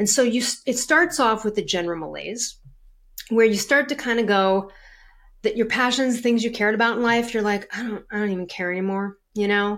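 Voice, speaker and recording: On a very clean recording with a silent background, a woman talks at a fairly quick pace with a fairly high pitch and ordinary pitch variation. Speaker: health coach and author. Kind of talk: interview. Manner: fast talker.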